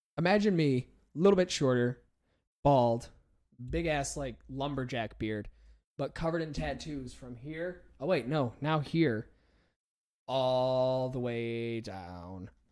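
With an American accent, a man speaks at a very slow pace with long, frequent pauses, lively intonation and big swings in loudness. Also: medium pitch for a man. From United States. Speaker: podcast host. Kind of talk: casual comedic chat.

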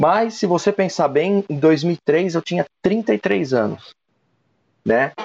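Very slowly, a man talks with a quiet background behind him. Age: 40s. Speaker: national sales manager. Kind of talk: interview. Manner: halting.

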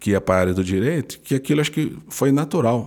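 A man at medium pitch has a dark, mellow tone and lively intonation. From interior of São Paulo state, Brazil. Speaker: public prosecutor. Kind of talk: interview.

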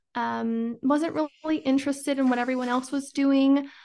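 In an American accent, a woman speaks at a high pitch over a quiet background. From Idaho, US. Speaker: entrepreneur and women's mentor, podcaster. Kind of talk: casual interview conversation.

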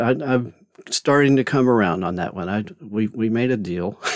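A man speaks at a moderate pace with ordinary pitch variation. His is an unremarkable speaking voice. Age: 50s. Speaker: podcast host and author. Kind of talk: casual monologue. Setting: home closet studio.

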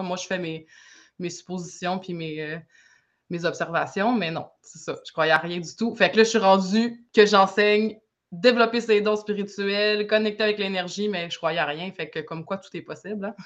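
A woman with an ordinary speaking voice, medium pitch, ordinary pitch variation, big swings in loudness, a moderate pace and a quiet background. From Quebec, Saguenay. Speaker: energy healer and sound artist. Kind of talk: casual interview chat.

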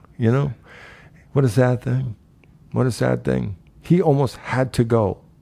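A man with an American accent speaks at a moderate pace in a medium pitch, his dark, mellow tone moving with ordinary pitch variation and broken by long, frequent pauses. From Nebraska, US Midwest (Omaha). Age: 50s. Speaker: former martial arts instructor, real estate agent, heart attack survivor. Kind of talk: casual interview conversation.

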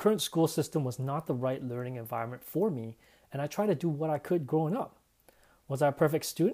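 A man with a Canadian accent speaks at a fairly quick pace in a fairly high pitch, his dark, mellow tone carrying lively intonation in a very clean recording with a silent background. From Canada. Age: 30s. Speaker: podcaster. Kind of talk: personal monologue.

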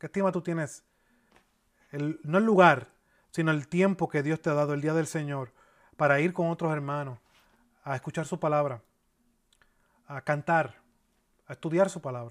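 A man speaks at a moderate pace and a fairly high pitch, with ordinary pitch variation and long, frequent pauses. The recording is very clean, with a silent background. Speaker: pastor. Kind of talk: sermon. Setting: church. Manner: earnest, expository preaching, steady teaching pace with pauses and repeats.

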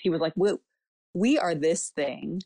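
In an unremarkable speaking voice with an American accent, a woman talks at a moderate pace and fairly low pitch with ordinary pitch variation, the sound dry and close with no echo and a quiet background. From Southern California. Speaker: missionary. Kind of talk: casual chat.

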